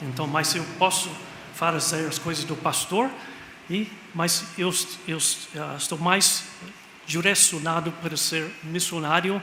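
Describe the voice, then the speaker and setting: With noticeable background noise and audible room echo, a high-pitched man talks at a very slow pace with fairly even intonation and long, frequent pauses. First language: English (speaking Portuguese). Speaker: missionary pastor. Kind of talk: sermon. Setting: church. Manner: halting.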